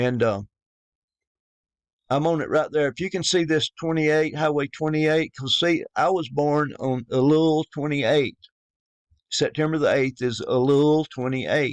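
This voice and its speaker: With a Southern US accent, a man talks at a moderate pace and fairly high pitch, using fairly even intonation and long, frequent pauses, in a dry, close sound with no echo. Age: 50s. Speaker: religious YouTuber. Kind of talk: religious monologue. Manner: halting.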